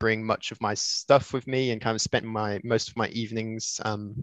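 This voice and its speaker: The speaker has an English accent and a monotone, flat intonation at a moderate pace. The sound is dry and close with no echo, over a quiet background. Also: man. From Switzerland. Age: 20s. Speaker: retro console modder. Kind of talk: casual chat.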